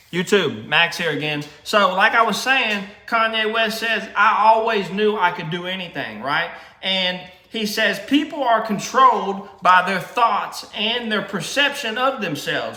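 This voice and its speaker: In a raised, projected voice, a high-pitched man speaks at a fairly slow pace with ordinary pitch variation, amid audible room echo and noticeable background noise. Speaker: vlogger. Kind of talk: casual motivational monologue. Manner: halting, many repetitions and fillers; informal, slangy.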